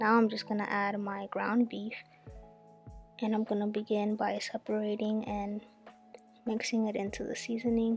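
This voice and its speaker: A woman talks at a moderate pace in a fairly high pitch, her intonation flat and monotone. Music plays in the background. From Dominican Republic. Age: 20s. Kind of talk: cooking tutorial talk to camera.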